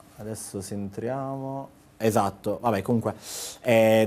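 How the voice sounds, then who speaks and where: A man's fairly low voice, dark and mellow in tone, with fairly even intonation. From Apulia, Italy (Gioia del Colle, province of Bari); Apulia, Italy. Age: 30s. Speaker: travel blogger. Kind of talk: casual TV interview. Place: studio. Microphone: lapel.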